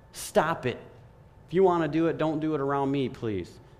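A man with a fairly high pitch and ordinary pitch variation speaks at a moderate pace amid audible room echo. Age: 30s. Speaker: lay preacher. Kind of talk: sermon. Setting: church. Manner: animated.

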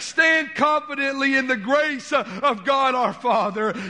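A raised, projected voice comes in a Southern US accent at a very slow pace. Background noise is noticeable. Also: man. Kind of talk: sermon. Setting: church. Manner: stutters, halting.

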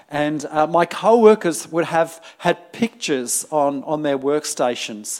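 A man with a fairly high voice talks in a lively, up-and-down way with hardly any pauses over noticeable background noise. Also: fairly slow pace. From UK. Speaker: pastor. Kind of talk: sermon. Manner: hesitant, many fillers and repetitions.

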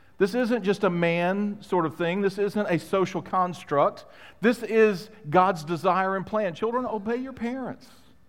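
A man speaks at a high pitch and a moderate pace, with ordinary pitch variation. The recording is very clean with a silent background. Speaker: pastor. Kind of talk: sermon. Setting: church. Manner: animated, joking.

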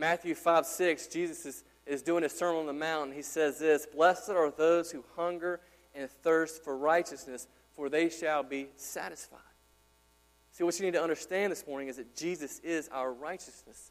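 This is an ordinary speaking voice, a man's, with a fairly high pitch and a moderate pace. His loudness swings widely while his intonation stays fairly even. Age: 30s. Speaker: pastor. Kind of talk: Sunday-morning expository sermon delivered to a live congregation. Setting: church. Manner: earnest, conversational preaching, building in urgency through repeated exhortations; casual, chatty asides with frequent fillers and stumbling repetitions.

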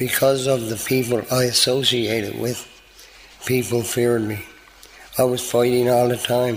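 With a Newfoundland accent, a man speaks at a fairly slow pace in a medium pitch with monotone, flat intonation, amid audible room echo and noticeable background noise. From Newfoundland, Canada (St. John's). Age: 50s. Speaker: recovery program graduate. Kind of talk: testimony.

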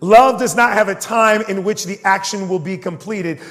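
There is noticeable background noise behind this man. His voice sits high in pitch with ordinary variation. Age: 30s. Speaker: pastor. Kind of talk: sermon.

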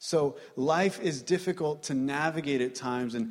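Using a normal speaking voice, a man talks at a fairly high pitch. His pace is moderate and his intonation lively. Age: 30s. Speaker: preacher. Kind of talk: sermon.

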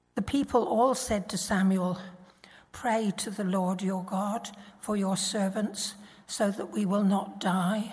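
A somewhat breathy voice at a very slow pace with fairly even intonation. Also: woman, medium pitch for a woman. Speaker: Bible reader. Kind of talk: reading aloud. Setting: church.

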